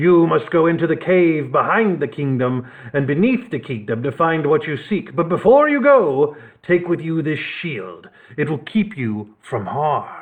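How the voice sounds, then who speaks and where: A man speaks in a put-on character voice, fairly high-pitched, at a moderate pace. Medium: read story. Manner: stiff, formal.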